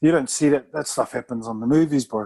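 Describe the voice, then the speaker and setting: A man talks at a fairly quick pace in a dark, mellow tone at medium pitch. The sound is dry and close, with no echo. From New Zealand (Samoan family). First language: Samoan. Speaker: retired rugby player. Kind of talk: casual interview chat.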